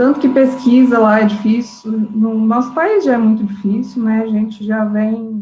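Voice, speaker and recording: A woman with a rural Minas Gerais accent speaks very slowly at a fairly high pitch, somewhat breathy and with fairly even intonation. Her tone is dark and mellow. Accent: Minas Gerais interior. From inland Minas Gerais, Brazil. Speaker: biologist. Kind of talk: panel discussion in a live stream. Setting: online live stream.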